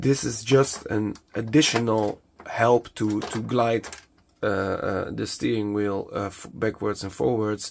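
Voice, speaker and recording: With a Dutch accent, a man speaks very slowly at a fairly low pitch and with fairly even intonation. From Netherlands. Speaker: hobbyist product maker. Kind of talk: tutorial. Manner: halting, many fillers.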